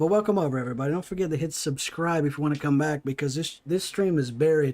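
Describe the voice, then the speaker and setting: Talking at a very fast clip in a strong Appalachian accent, a man with a fairly high voice uses ordinary pitch variation. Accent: thick Appalachian. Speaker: gaming streamer. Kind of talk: casual livestream chat. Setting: live stream while gaming.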